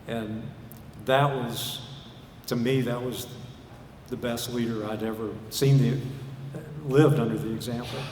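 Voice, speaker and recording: Over noticeable background noise and audible room echo, a man with a Southern US accent speaks at a fairly slow pace in a flat, medium-pitched monotone broken by long, frequent pauses. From US South, Arkansas. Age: 60s. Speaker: preacher. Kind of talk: sermon.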